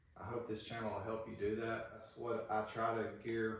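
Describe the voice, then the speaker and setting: Speaking with an Alabama accent, a man uses a medium pitch and monotone, flat intonation at a moderate pace, with audible room echo and noticeable background noise. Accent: Southern US (Alabama). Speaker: woodworking YouTuber. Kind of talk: casual tutorial talk.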